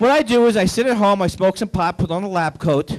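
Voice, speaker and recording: Over a quiet background, a man talks with a high pitch and ordinary pitch variation. His pace is fairly quick. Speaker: stand-up comedian. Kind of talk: stand-up comedy routine. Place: stage. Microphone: handheld.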